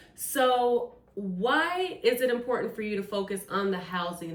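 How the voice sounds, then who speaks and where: Intonation rises and falls in a lively way as this woman talks. Behind her, background noise is noticeable. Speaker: podcast host. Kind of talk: podcast interview host. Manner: upbeat.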